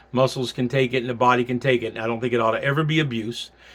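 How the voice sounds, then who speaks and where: Speaking in a Southern US accent, a man has a medium pitch. He goes at a very fast pace with fairly even intonation. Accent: Southern American. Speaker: pastor teaching a class. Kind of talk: recorded sermon-style class. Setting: pre-recorded video for class. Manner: loud.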